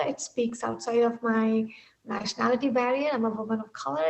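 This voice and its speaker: With an Indian accent, a woman speaks at a high pitch and a moderate pace. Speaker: technology executive. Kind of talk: interview.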